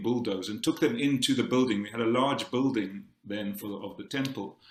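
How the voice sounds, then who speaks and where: This is a man with a South African accent. His pitch is medium. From South Africa, Cape Town. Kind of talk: conference talk. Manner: halting, many repetitions and fillers.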